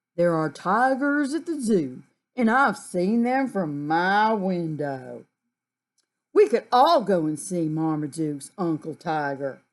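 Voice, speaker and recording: A put-on character voice, female-sounding, at a middle pitch and a fairly slow pace. The background is quiet. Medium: read story.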